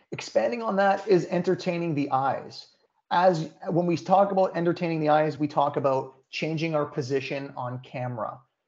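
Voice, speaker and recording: This is a normal speaking voice with ordinary pitch variation. The pace is moderate. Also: man, fairly high pitch for a man. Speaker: food influencer and social media presenter. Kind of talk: webinar presentation. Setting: online webinar.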